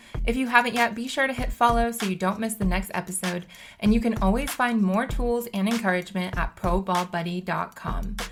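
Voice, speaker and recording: A woman with an unremarkable speaking voice talks at a fairly quick pace with hardly any pauses, her pitch fairly high and her pitch variation ordinary. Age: 30s. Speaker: podcast host and basketball player. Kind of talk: podcast monologue. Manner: upbeat.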